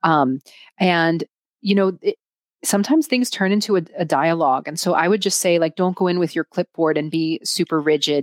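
With an American accent, a woman talks at a fairly quick pace in a fairly low pitch, recorded very cleanly against a silent background with a dry, close sound and no echo. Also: ordinary pitch variation. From United States. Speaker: nonprofit consultant. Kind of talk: interview. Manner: hesitant, many fillers.

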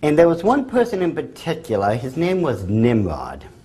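A man talks with a somewhat breathy voice and very wide pitch swings. Audible echo from the room surrounds him. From England. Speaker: speaker on the occult and conspiracy. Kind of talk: lecture. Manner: hesitant with frequent fillers.

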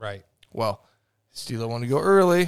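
A man with a medium-pitched, lively intonation in a normal speaking voice. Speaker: podcast host. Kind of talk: casual chat. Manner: casual, joking.

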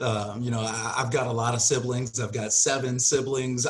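A somewhat breathy man with an American accent talks at a fairly quick pace and a medium pitch. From Chicago suburbs. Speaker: real estate wholesaling coach. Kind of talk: interview.

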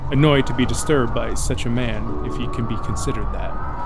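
A dramatic tone at a moderate pace, with music in the background. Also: man. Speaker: horror storyteller podcast host. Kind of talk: horror narration, dark storytelling read aloud. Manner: measured, dramatic, with grim intensity.

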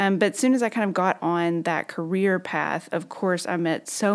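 On a very clean recording with a silent background, a woman speaks in a Southern US accent with ordinary pitch variation. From Arkansas, southern (Magnolia). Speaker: physician. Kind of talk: interview.

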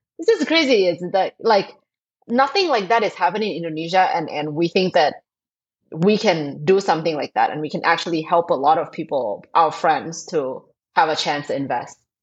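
In a Thai accent, a woman speaks with a fairly low pitch and lively intonation. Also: moderate pace. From Thailand. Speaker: fintech co-founder. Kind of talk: interview.

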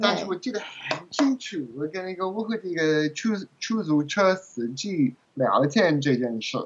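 A man with a strong English accent speaks fairly slowly at a high pitch, his voice swinging very widely. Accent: strong English accent in Mandarin. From England. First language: English (speaking Chinese). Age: 30s. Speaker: translator and language learner. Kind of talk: interview. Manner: halting.

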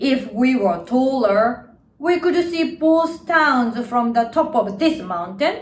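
With a Japanese accent, a woman speaks at a very slow pace in a fairly high pitch, her intonation lively. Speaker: storyteller and actor. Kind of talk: storytelling, children's story narration. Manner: dramatic, expressive storytelling with lively, playful pacing.

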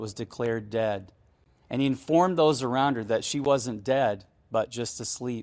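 Over a very clean recording with a silent background, a man speaks in an American accent. His pitch is medium, with ordinary variation, and his pace is moderate. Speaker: ministry leader. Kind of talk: fervent prayer, earnest pastoral petition to God. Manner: earnest, heartfelt, reverent; measured, impassioned, hopeful.

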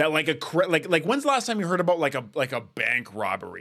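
In a very clean recording with a silent background, a man with a Canadian accent and a fairly high pitch makes very wide pitch swings. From Canada, Edmonton, Alberta. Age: 20s. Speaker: podcast host. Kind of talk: casual chat.

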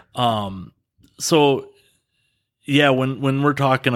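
In a very clean recording with a silent background, a man with an American accent speaks at a fairly slow pace with fairly even intonation. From Dodgeville, Wisconsin, US Midwest. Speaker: outdoor photographer. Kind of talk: casual interview. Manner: halting, many fillers.

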